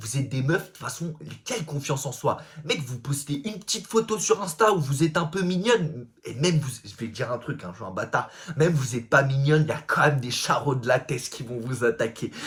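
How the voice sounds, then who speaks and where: Fairly quick and fairly high-pitched, a man speaks with lively intonation and big swings in loudness. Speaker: comedic self-help influencer. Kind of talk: casual vlog monologue. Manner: loud, fast talking; casual slangy, vulgar speech.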